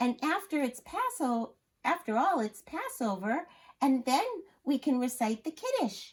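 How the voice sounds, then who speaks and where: The speaker uses a put-on character voice. Its intonation is lively. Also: woman, high pitch for a woman, moderate pace, very even loudness. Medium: read story. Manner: practical, gently insistent.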